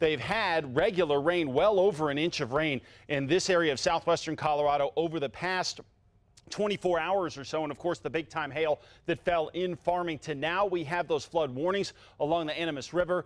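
Here a man talks at a moderate pace. His pitch varies in an ordinary way. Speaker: TV presenter. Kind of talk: weather forecast commentary. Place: studio. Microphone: lapel.

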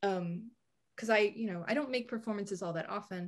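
Pitch variation here is ordinary and the voice a bit breathy. Behind it, the background stays quiet. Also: woman. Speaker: author and performance artist; guest. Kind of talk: casual chat. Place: home room. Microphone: video call.

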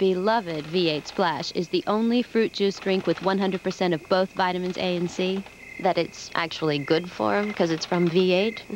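A woman at a moderate pace with hardly any pauses, dry sound with no echo, light background noise. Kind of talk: commercial voice-over monologue.

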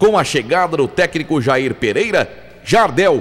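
With music in the background, a man speaks at a very slow pace in a high pitch. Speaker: sports documentary voice-over narrator. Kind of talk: documentary narration. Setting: studio.

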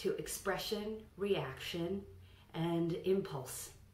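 Speaking at a very slow pace, a woman keeps a calm tone while the room echo stays audible. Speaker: voice coach. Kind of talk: tutorial. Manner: instructional, calm. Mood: calm, instructive. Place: home room. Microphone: camera far.

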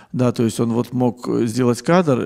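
A man speaks in a dark, mellow tone with vocal fry. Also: quiet background. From Russia, Saint Petersburg; Russia. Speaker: film scholar and writer. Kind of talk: lecture. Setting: stage with audience. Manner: hesitant fillers, discursive. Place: hall. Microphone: handheld.

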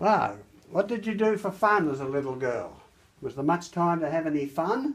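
With a high pitch and very wide pitch swings, a man speaks. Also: moderate pace. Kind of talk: casual talk. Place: home room. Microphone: phone near.

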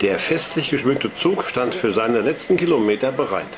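With lively intonation, a man speaks at a moderate pace and medium pitch against noticeable background noise. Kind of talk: 1960s documentary film narration, scripted and read aloud. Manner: measured, formal, even-paced newsreel tone; dry, authoritative, clearly enunciated.

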